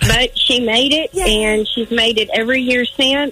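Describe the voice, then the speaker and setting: A woman with a high pitch and ordinary pitch variation speaks at a moderate pace against noticeable background noise. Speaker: caller, aunt of a past trip child. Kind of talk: phone call update on family. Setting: phone call.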